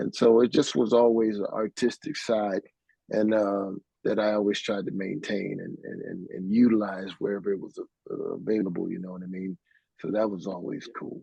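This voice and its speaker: A man's fairly low voice at a moderate pace, fairly even in intonation but with big swings in loudness. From US, small town. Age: 60s. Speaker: keyboardist. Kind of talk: interview. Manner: casual, halting with fillers.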